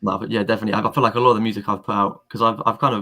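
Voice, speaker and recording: A man's fairly low voice with a London accent, bright and sharp in tone, with ordinary pitch variation on a very clean recording with a silent background. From London, England. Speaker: rapper. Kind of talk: casual chat. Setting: live stream.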